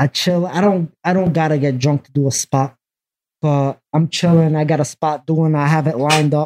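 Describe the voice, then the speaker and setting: In a New York accent, a man talks at a moderate pace and fairly high pitch with fairly even intonation. His loudness swings a lot, and the sound is dry and close with no echo. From Brooklyn, New York. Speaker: graffiti artist. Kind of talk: casual chat.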